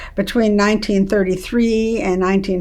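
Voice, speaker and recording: A woman talks at a medium pitch. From Germany, Bavaria. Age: 80s+. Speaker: Holocaust survivor speaker. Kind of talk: testimony talk.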